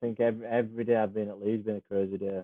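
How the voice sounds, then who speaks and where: In a Cumbrian accent, a man speaks with medium pitch and a monotone, flat intonation. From Cumbria, northern England. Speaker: professional rugby league player. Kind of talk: casual chat. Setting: podcast interview.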